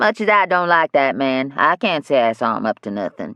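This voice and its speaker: In a put-on character voice, a man rumbles at a fairly quick pace with a fairly high pitch and very wide pitch swings. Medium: read story. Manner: sullen, grumbling.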